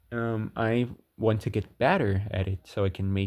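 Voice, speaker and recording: A man with a non-native accent. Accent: non-native English, self-described bad. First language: not English. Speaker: video game theory youtuber. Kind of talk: scripted narration; casual outro to viewers. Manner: halting.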